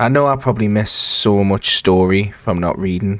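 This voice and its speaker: A quiet man with a fairly low pitch is heard over noticeable background noise. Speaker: gaming YouTuber. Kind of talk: let's play commentary. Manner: quiet, lowered voice; casual, rambling.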